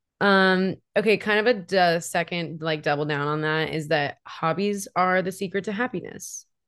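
Against a quiet background, a woman with a fairly low pitch talks at a moderate pace with hardly any pauses and ordinary pitch variation. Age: 20s. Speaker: podcast co-host. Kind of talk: casual chat. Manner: animated.

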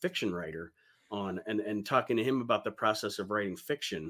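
A man with an American accent speaks at a fairly quick pace in a fairly low voice. His tone is bright and sharp, with ordinary pitch variation. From Ohio, US (Toledo). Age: 40s. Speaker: podcast host. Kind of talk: casual interview.

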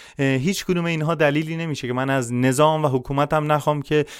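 Using a normal speaking voice, a man talks at a fairly quick pace. His pitch is fairly high, and his intonation is fairly even. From Iran, Shushtar, Khuzestan. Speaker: social activist and cybersecurity specialist. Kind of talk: podcast interview.

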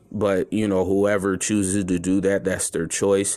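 A man's very deep, low voice in a flat monotone. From Chicago, US Midwest. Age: 30s. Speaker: podcast host. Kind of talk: casual monologue. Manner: halting, many fillers.

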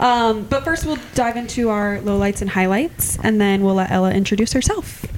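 Hardly pausing, a woman with an American accent talks at a moderate pace and medium pitch. Audible room echo and noticeable background noise fill the recording. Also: ordinary pitch variation. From Iowa. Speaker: podcast co-host. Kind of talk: casual chat.

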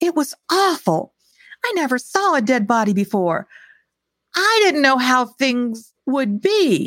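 A woman does a put-on character voice, high-pitched and shaky, with very wide pitch swings. She talks fairly slowly, and the sound is dry and close with no echo. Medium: read story. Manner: shaky, tearful.

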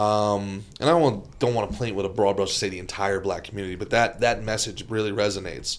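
With an American accent, a man talks at a very fast pace with hardly any pauses, his fairly low pitch showing ordinary variation. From New Jersey, US. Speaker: comedian. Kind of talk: casual chat.

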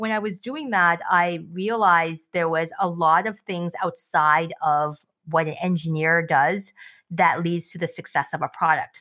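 A woman's fairly low, bright, sharp voice at a fairly slow pace, on a very clean recording with a silent background. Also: fairly even intonation. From Canada, immigrant from Shanghai, China. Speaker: tech product executive. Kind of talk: casual interview.

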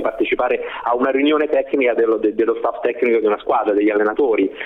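There is noticeable background noise as the man speaks. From Rome, Italy. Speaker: basketball club press officer. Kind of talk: interview.

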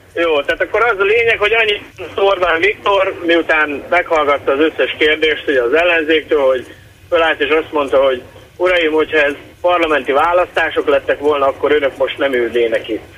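A man's fairly high voice at a fairly quick pace, with very even loudness, ordinary pitch variation and noticeable background noise. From Satu Mare region, Romania (Hungarian minority). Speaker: caller. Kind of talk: phone-in call. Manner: hesitant, many fillers.

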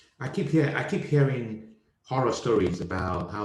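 A man talks at a fairly quick pace with lively intonation, and audible room echo surrounds him. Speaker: comedian. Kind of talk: casual chat. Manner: animated.

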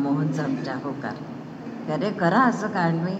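A woman speaks at a fairly low pitch. Noticeable background noise and audible room echo surround her voice. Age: 80s+. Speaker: elderly devotee. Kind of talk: speech to gathering. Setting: hall with audience.

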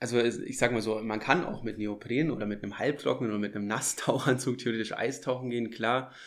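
A man at a very fast pace, with hardly any pauses. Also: medium pitch for a man, fairly even intonation. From Munich, Germany. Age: 20s. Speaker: dive instructor. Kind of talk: casual interview. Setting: on location by a lake.

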